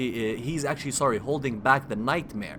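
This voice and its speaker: Speaking at a medium pitch, the man has a non-native accent. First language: not English. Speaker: gaming video creator. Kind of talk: gameplay commentary. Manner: halting, self-correcting.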